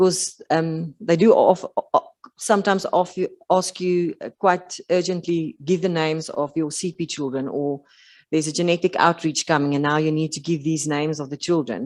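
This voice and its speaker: With a South African accent, a woman speaks at a moderate pace and a fairly low pitch with ordinary pitch variation, the sound dry and close with no echo against a quiet background. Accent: Afrikaans South African English. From South Africa, rural Western Cape. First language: Afrikaans. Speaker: occupational therapist. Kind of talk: conference talk. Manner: halting, many fillers.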